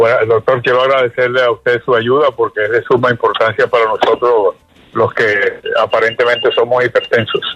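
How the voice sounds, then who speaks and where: Speaking at a fairly quick pace with very even loudness, a man is heard in a dry, close recording with no echo and noticeable background noise. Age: 80s+. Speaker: caller. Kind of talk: call-in question. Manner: halting.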